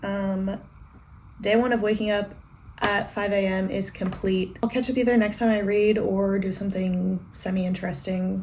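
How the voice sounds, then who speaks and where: Somewhat breathy, medium-pitched speech from a woman at a moderate pace, monotone and flat in intonation. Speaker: book vlogger. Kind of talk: casual vlog talk. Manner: quiet, low energy.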